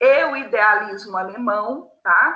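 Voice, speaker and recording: A woman with a fairly high pitch speaks in a room with audible echo. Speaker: philosophy teacher. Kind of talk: online class lecture.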